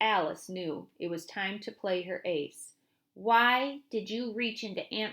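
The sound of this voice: Ordinary pitch variation marks an unforced reading voice. Little sound intrudes behind it.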